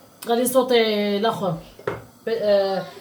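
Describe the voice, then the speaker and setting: A woman with a medium pitch speaks at a fairly slow pace. There is audible room echo and noticeable background noise. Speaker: home cooking vlogger. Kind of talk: cooking tutorial vlog. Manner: casual, chatty.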